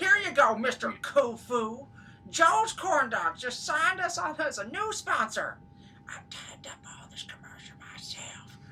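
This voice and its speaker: Someone whispers in a put-on character voice. The whole delivery stays a whisper. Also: moderate pace. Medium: audio drama. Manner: eager, excitable.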